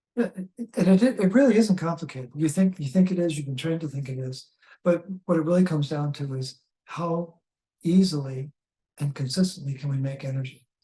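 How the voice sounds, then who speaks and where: A man speaks with a fairly high pitch and a dark, mellow tone. He keeps a fairly quick pace. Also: ordinary pitch variation. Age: 70s. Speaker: health educator. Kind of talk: interview. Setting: in person recording.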